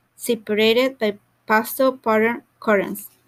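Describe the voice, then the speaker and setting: A woman with a Mexican accent and a fairly high pitch talks at a moderate pace. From Mexico. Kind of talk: audiobook reading.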